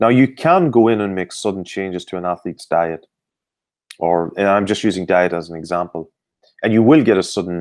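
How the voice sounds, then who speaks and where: A man with an Irish accent speaks in a very deep, low voice with ordinary pitch variation. His pace is fairly quick, and the background is quiet. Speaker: sports performance expert. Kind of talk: interview. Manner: hesitant, many fillers.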